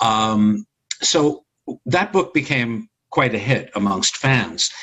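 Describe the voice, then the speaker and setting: A man with a New York accent and lively intonation. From New York (Brooklyn, Long Island). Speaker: actor and author. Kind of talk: interview.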